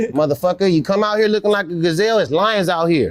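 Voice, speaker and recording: With an American accent, a man speaks at a high pitch that varies in an ordinary way. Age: 60s. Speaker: gang member. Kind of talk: street interview.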